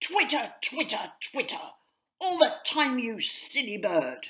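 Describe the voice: A woman performs a put-on character voice in a fairly bright tone at a fairly high pitch. She goes at a slow pace with big pitch swings.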